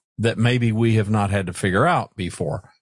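In an unremarkable speaking voice, a man talks at a moderate pace with fairly low pitch and ordinary pitch variation, the sound dry and close with no echo against a quiet background. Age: 60s. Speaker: podcast host. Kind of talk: solo podcast monologue.

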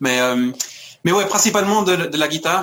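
A man's voice with ordinary pitch variation. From France and Scotland (Paris, Glasgow). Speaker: musician. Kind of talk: interview. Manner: halting, many repetitions.

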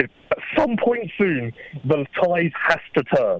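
Here a man speaks with an English accent. The sound is dry and close, with no echo. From England. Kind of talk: casual chat. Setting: phone call.

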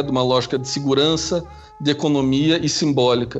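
A man with a Curitiba accent at a fairly high pitch and a fairly quick pace, music in the background. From Curitiba, southern Brazil. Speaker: international relations researcher. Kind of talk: interview.

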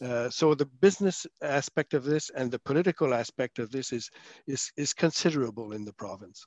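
Speaking at a fairly quick pace with a French accent, a man's fairly high voice comes across dry and close with no echo. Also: ordinary pitch variation. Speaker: former senator and policy consultant. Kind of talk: casual panel discussion.

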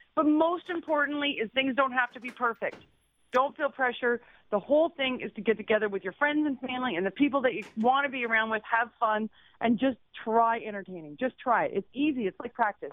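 Fairly quick pace with lively intonation. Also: woman, high pitch for a woman. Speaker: lifestyle expert. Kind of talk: radio interview with advice. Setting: phone call.

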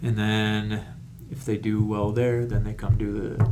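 Fairly slow delivery with noticeable background noise and audible room echo. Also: man. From Rochester, New York, US. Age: 40s. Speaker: comedian and retired Marine. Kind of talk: casual interview chat.

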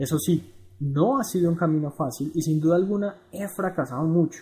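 Lively intonation marks this man's fairly high voice, which has a dark, mellow tone. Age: 20s. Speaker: blogger on personal finance. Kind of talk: reading aloud a blog article.

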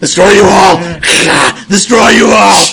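Putting on a raspy character voice, a man speaks at a moderate pace with a high pitch. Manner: menacing, crying out.

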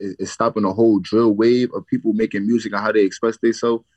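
A man with a New York accent talks at a very fast pace and a fairly low pitch. The sound is dry and close, with no echo. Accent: New York City. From the Bronx, New York. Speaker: drill rapper. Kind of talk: interview.

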